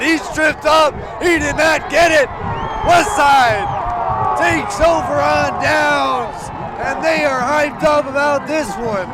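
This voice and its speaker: A man with an American accent and very wide pitch swings, crowd noise in the background. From Omaha, Nebraska. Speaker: sports play-by-play commentator. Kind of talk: sports play-by-play commentary.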